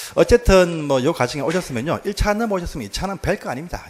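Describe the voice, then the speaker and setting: Against noticeable background noise, a man with a southern Korean accent speaks with very wide pitch swings. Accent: southern Korean dialect (Namdo). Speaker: exam prep instructor. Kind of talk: lecture. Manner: fast.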